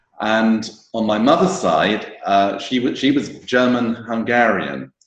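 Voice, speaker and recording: Very slowly, a man speaks at a medium pitch in a British accent. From England. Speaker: wine tour operator. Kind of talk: casual interview. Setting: video call. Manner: halting, many repetitions and fillers.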